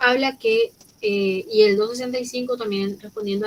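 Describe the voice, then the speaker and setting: Her pitch fairly high, a woman with an unremarkable speaking voice talks at a moderate speed. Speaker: law professor. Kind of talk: lecture. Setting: online class, recorded.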